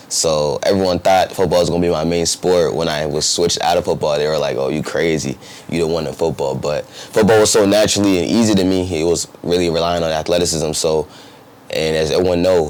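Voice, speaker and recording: Speaking at a very fast pace with an American accent, a man uses a very deep, low pitch amid noticeable background noise. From New Jersey. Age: 20s. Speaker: professional basketball player. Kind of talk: interview. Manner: casual, halting with fillers.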